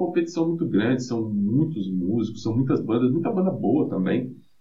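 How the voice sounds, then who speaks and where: A man at a medium pitch with very wide pitch swings, plus audible room echo and noticeable background noise. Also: hardly any pauses. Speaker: metal band guitarist and vocalist. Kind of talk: casual interview chat. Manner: hesitant, many filler repetitions.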